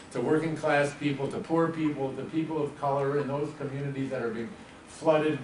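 A man's voice carries an audible room echo. Light background noise is present. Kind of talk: opening speech. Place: meeting room. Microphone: camera far.

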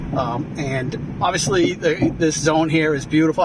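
Noticeable background noise sits behind a man's voice. The sound is dry with no echo. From US. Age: 60s. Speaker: retired expat farmer, former marine; interviewee. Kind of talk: casual interview. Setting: outdoors on a farm. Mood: happy, enthusiastic.

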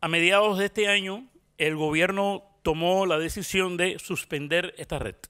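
Against a quiet background, a man with a Cuban accent speaks at a fairly slow pace in a high, bright, sharp voice with fairly even intonation. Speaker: journalist. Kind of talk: conference talk. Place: stage. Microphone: handheld.

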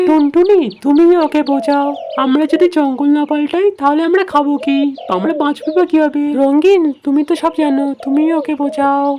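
A female-sounding cartoonish character voice, high-pitched for a woman, speaks at a moderate pace over clear background noise.

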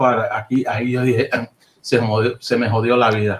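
Monotone with flat intonation, a somewhat breathy man at medium pitch keeps a moderate pace. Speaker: percussionist. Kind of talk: casual interview. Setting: video call.

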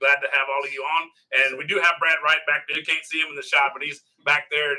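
Man speaking, quiet background. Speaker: local sports broadcast host. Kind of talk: interview introduction and questions. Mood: jovial, self-deprecating. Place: meeting room. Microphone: phone near.

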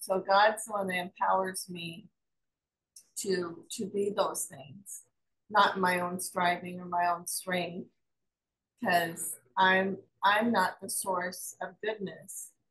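A woman at a very slow pace, long, frequent pauses, monotone, flat intonation and big swings in loudness. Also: quiet background. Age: 60s. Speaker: pastor. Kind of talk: group Bible study discussion. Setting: video call. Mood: calm, reflective. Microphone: video call.

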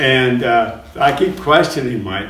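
A man is speaking in a room with audible echo. Light background noise is present. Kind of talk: interview answer. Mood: amused, laughing storytelling. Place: studio.

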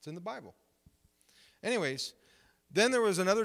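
A man speaks with an Ontario accent. The background is quiet. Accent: Canadian (Ontario). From Canada, Windsor, Ontario; Ontario, Canada. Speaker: pastor. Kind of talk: sermon. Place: church. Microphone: handheld.

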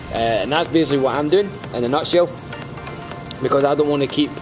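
Clear music plays in the background as a man talks at a very fast pace with fairly even intonation. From Scotland. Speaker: crypto promoter vlogger. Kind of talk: casual talk to camera. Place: waterside. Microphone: phone near.

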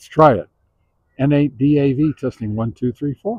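A man speaks with a slightly mellow tone and a slightly husky edge, the sound dry and close with no echo. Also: medium pitch for a man, ordinary pitch variation, moderate pace.

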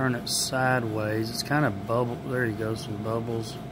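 Noticeable background noise behind a man keeping a moderate pace. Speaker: food reviewer. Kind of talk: casual taste-test vlog chat. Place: hall. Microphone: phone near.

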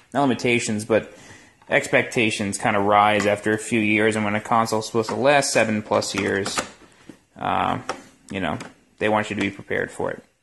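The voice has vocal fry and a fairly bright tone, moving at a moderate pace with fairly even intonation. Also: man, fairly low pitch for a man.

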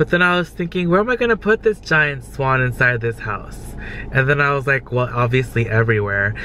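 In a dry recording with no echo and light background noise, a man talks at a moderate pace with a bright, sharp tone and lively intonation. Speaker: vlogger. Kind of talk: casual vlog chat. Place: car. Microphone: phone near.

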